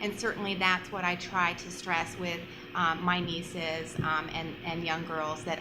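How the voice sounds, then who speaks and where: Through noticeable background noise and audible room echo, a woman speaks fairly slowly at a fairly low pitch with monotone, flat intonation. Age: 50s. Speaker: panelist. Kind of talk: panel discussion.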